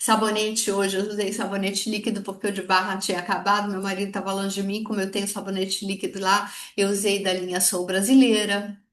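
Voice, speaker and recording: Talking at a very fast pace with hardly any pauses, a woman keeps a medium pitch amid noticeable background noise and audible room echo. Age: 60s. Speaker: direct sales consultant. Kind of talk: sales training talk. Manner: animated.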